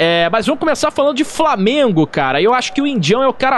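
The pitch swings very widely as the speech moves at a fairly quick pace. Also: man. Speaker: podcast host. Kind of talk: casual chat.

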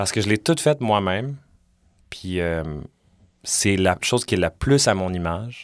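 A man talks at a fairly slow pace with lively intonation and long, frequent pauses. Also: fairly low pitch for a man. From Montreal, Quebec (Villeray). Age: 30s. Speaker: podcaster and musician. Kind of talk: casual interview chat. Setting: studio.

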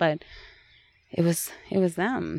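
A woman's fairly low voice comes out in a monotone, flat intonation. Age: 30s. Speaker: empath and healer. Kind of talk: casual chat. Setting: outdoors.

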